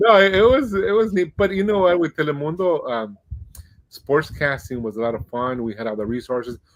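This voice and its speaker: Speaking with a Spanish accent, a man uses a fairly high pitch with very wide pitch swings. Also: fairly quick pace. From Mexico-US border, Nogales and Tucson. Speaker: Spanish-language baseball radio broadcaster. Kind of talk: podcast interview.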